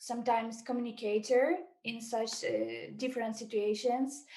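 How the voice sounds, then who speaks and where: A woman speaks with a Ukrainian accent at a fairly high pitch. Her intonation stays fairly even. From Ukraine, Mariupol. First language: Ukrainian or Russian. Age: 20s. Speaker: volunteer translator. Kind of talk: testimony. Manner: halting.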